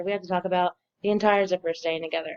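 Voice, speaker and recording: A woman's medium-pitched, monotone, flat delivery in a dry, close sound with no echo. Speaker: student presenter. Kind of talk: class presentation. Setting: bunk room at work, late night. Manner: hesitant with fillers.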